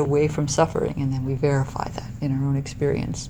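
Soft-spoken, a woman talks at a fairly quick pace. Her voice is very deep and low. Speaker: meditation teacher. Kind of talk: dharma talk. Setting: meditation hall with audience.

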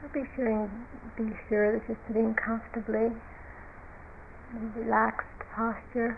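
A woman speaks at a fairly slow pace in a fairly high, flat monotone, with noticeable background noise. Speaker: meditation teacher. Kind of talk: guided meditation. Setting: retreat. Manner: slow, gentle and soothing, with calm, unhurried pacing and soft pauses; quiet, measured and instructive.

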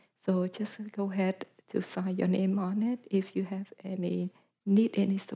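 A woman's somewhat breathy voice with a dark, mellow tone, flat and monotone at a moderate pace. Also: medium pitch for a woman. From Vietnam. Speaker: meditation teacher. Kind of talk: announcement at retreat. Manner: halting.

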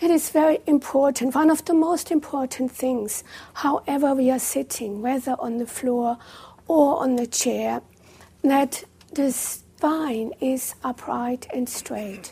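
Speaking at a very slow pace, a woman has a high pitch, a dark, mellow tone and ordinary pitch variation. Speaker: meditation teacher. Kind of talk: guided meditation. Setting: live retreat room with in-person audience. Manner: calm, slow and gently paced, with long pauses; soft-spoken and instructive.

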